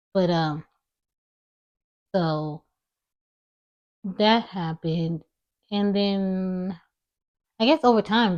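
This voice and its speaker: Quiet and mumbling, a woman speaks at a medium pitch with ordinary pitch variation and long, frequent pauses, in a dry, close sound with no echo. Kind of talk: personal vlog monologue. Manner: quiet, low volume.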